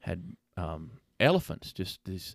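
Very deep and low in pitch, a man speaks with a Tennessee accent in a dry, close sound with no echo, on a very clean recording with a silent background. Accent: Southern US (Tennessee). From Lebanon, Tennessee. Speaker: pastor. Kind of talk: casual interview. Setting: in the room with host.

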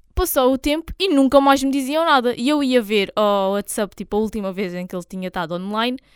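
On a very clean recording with a silent background and a dry, close sound with no echo, a woman speaks in an ordinary speaking voice, fairly high in pitch with lively intonation. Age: 20s. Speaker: podcast co-host. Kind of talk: casual chat.

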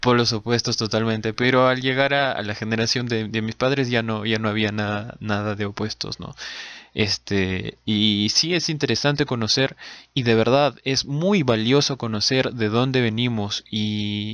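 A man speaks with an ordinary speaking voice at a medium pitch. His pace is fairly slow and his intonation fairly even. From Peru. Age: 30s. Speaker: podcast co-host. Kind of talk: casual chat.

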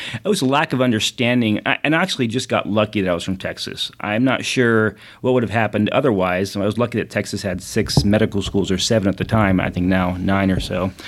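A man's fairly low voice, with ordinary pitch variation, races along at a very fast pace. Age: 40s. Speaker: ophthalmologist. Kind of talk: casual chat.

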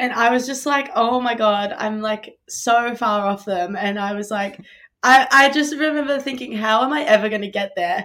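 Bright, sharp, fairly high voice of a woman with an Australian accent, at a moderate pace. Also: ordinary pitch variation. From Australia (Melbourne). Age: 20s. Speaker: college distance runner. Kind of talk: interview. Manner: casual, filler-heavy.

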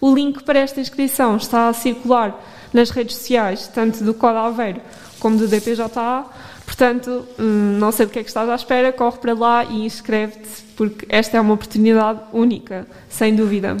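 Fairly high woman's voice in a monotone, flat intonation, over noticeable background noise. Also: moderate pace. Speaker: radio host. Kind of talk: casual chat. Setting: studio.

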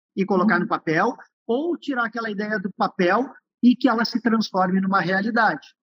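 A man in a Gaúcho Brazilian accent speaks at a high pitch. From interior of Rio Grande do Sul, Uruguay border. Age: 50s. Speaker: entrepreneur, business founder. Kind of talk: interview conversation.

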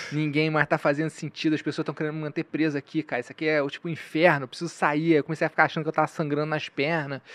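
Rushing at a very fast pace with hardly any pauses, a man with a strong Carioca accent talks in a fairly high, monotone, flat voice. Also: dry, close sound with no echo. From Rio de Janeiro. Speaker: comedian. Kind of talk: casual chat.

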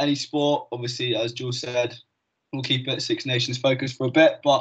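Somewhat breathy and monotone, a man speaks at a medium pitch and a moderate pace. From Devon, England. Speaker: podcast co-host, university student. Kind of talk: casual chat.

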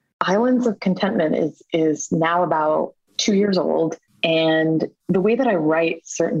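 A woman with a plain, everyday voice speaks at a fairly low pitch with ordinary pitch variation and very even loudness, in a dry, close sound with no echo. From born in Mumbai, India; raised in small-town New York State, US. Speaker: playwright. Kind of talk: casual interview.

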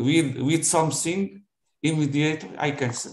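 A man speaks with a Portuguese accent. His voice is somewhat breathy. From Portugal. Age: 70s. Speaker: retiree practicing English. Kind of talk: casual conversation practice. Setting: video call. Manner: halting.

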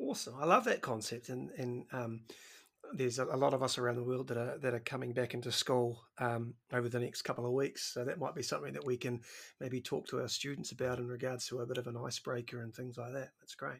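A man speaks at a very fast pace. His medium pitch follows a fairly even intonation. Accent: New Zealand. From New Zealand. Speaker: podcast host, PE teacher. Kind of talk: casual interview. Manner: halting, repeats words.

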